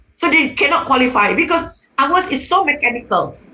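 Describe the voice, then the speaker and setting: Her voice raised and projected, a woman speaks with lively intonation. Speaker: economics professor, panelist. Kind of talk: webinar panel talk. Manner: halting, many fillers.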